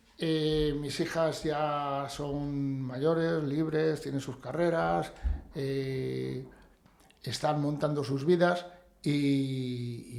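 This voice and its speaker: A man speaks at a fairly high pitch with fairly even intonation. Audible room echo surrounds the voice. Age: 60s. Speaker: builder and real estate agent. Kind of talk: podcast interview.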